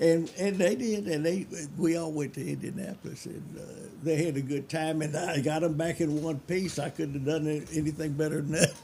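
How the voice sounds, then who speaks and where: In a Memphis accent, a man talks at a fairly quick pace, his fairly high voice dark and mellow in tone, with fairly even intonation. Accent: Southern US (Memphis). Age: 80s+. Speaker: hot rodder. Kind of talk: casual chat.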